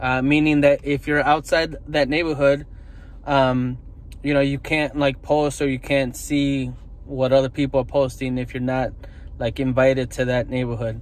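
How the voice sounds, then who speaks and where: A man speaks at a moderate pace in a monotone, flat intonation. The sound is dry with no echo. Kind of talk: casual vlog chat. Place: car. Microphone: phone near.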